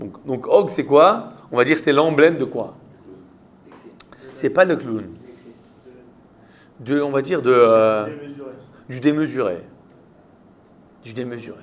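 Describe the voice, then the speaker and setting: In a French accent, a man speaks very slowly at a medium pitch, with long, frequent pauses. His intonation is lively and his loudness swings widely. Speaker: rabbi teaching Torah class. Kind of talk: interactive Torah lesson with students. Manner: conversational, questioning.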